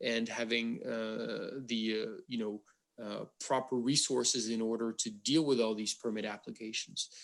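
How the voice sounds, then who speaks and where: In a French accent, the speaker talks at a fairly slow pace with fairly even intonation. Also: man. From France. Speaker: wind industry advocate. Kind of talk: panel discussion. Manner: halting, many fillers.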